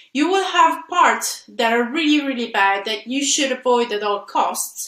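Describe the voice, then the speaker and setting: Speaking at a fairly slow pace in a raised, projected voice, a woman with an Italian accent and a high pitch makes very wide pitch swings. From Italy. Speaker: software engineer and conference speaker. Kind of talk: conference talk. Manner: halting, with frequent fillers.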